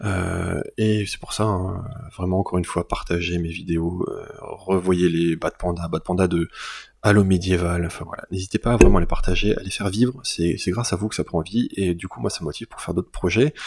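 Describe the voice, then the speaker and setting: A man's voice is very deep and low in pitch and somewhat breathy. His loudness swings widely. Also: fairly even intonation, moderate pace. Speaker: YouTuber and illustrator. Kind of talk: channel announcement to viewers. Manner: halting, many fillers and repetitions; casual.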